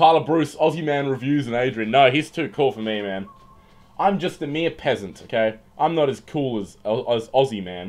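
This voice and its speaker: A man talks with an Australian accent and lively intonation. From Western Australia. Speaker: livestreamer and comedian. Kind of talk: casual livestream chat; reading news aloud. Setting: livestream. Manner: loud.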